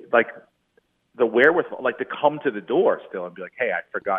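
A man speaks at a fairly quick pace with big swings in loudness. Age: 40s. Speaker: comedian. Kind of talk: casual interview chat, telling stand-up anecdotes.

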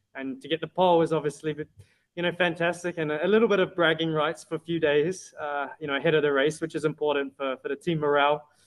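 Here a man speaks with a British accent at a fairly high pitch. His pace is fairly quick, and his intonation fairly even. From UK. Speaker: racing driver. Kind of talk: interview.

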